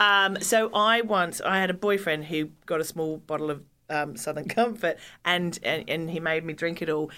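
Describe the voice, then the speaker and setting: A woman speaks with an Australian accent at a fairly low pitch and a moderate pace. Her tone is bright and sharp, with ordinary pitch variation. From rural Australia. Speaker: comedian and podcast host. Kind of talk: casual chat.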